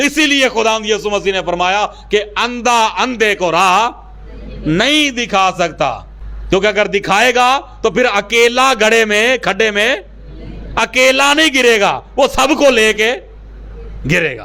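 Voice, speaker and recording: Over noticeable background noise, a man speaks in a raised, projected voice. His pitch is high, with ordinary variation. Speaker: pastor, church preacher. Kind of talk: sermon-style motivational speech.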